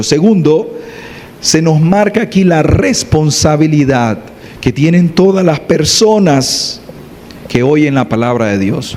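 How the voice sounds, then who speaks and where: With noticeable background noise around him, a man speaks at a fairly slow pace, fairly high in pitch, with lively intonation and very even loudness. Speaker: preacher. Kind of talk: sermon. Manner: soft-spoken.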